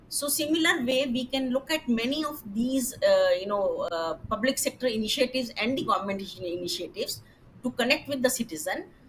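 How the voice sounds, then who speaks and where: A woman with a Punjabi accent, high pitch, very wide pitch swings and a fairly quick pace. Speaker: retired government scientist, panelist. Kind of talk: panel discussion. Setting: webinar. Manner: hesitant, many fillers.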